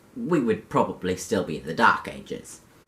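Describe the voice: A man with a British accent and lively intonation.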